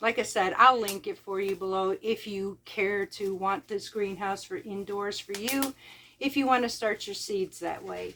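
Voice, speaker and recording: A woman with an American accent speaks loudly at a fairly slow pace, her pitch varying in an ordinary way. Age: 50s. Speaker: homesteader vlogger. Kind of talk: casual vlog talk.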